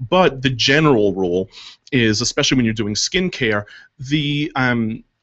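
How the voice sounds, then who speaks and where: With a plain, everyday voice, a man speaks at a medium pitch using lively intonation. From New York. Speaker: makeup artist. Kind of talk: casual chat. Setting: radio studio.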